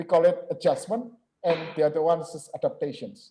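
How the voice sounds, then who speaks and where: In an Indonesian accent, a man with a dark, mellow tone speaks at a moderate pace, his pitch swinging very widely. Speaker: lecturer. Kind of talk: lecture. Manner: halting, many filler sounds.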